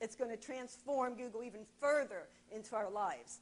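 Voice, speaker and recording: This is a woman speaking at a high pitch. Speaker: marketing presenter. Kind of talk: presentation to an audience. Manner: loud.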